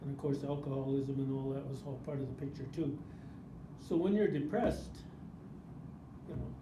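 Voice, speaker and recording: Amid noticeable background noise and audible room echo, a man talks at a fairly quick pace and a fairly high pitch, with ordinary pitch variation and long, frequent pauses. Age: 70s. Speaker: First Nations elder. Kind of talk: life story interview. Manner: halting, repetitive.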